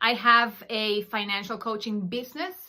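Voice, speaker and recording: This woman, with a Spanish accent, talks at a fairly slow pace in a fairly high pitch with a bright, sharp tone. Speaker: podcast host, financial coach. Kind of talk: monologue podcast.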